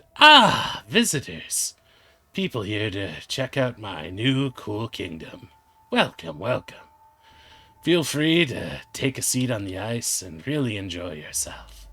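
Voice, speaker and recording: A man's raspy, put-on character voice at a medium pitch and fairly slow pace. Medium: actual play. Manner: smug, mocking.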